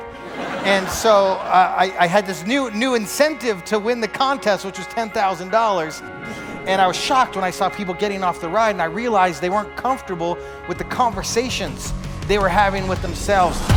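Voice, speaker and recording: With music in the background, a man talks at a high pitch and a fairly quick pace, with hardly any pauses. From Canada. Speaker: motivational speaker. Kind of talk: motivational keynote speech to a live audience.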